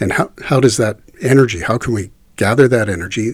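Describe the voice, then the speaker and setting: A man talks at a fairly quick pace in a medium pitch, his voice somewhat breathy and his pitch varying in an ordinary way. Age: 50s. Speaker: voice actor. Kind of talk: interview. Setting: shared handheld microphone.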